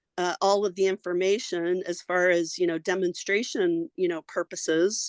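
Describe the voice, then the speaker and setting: A woman speaks at a moderate pace in a medium pitch, her intonation flat and monotone, recorded dry and close with no echo against a quiet background. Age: 60s. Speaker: alternative health practitioner. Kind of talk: casual chat. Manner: halting, many fillers.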